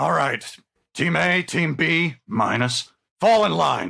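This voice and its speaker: A man puts on a gruff, raspy character voice pitched high. He talks at a fairly slow pace. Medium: actual play. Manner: gruff, barking.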